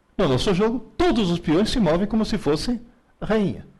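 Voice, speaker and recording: An animated tone at a fairly quick pace, with noticeable background noise. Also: man. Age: 70s. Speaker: teacher and author on learning. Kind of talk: live Q&A interview. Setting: live stream.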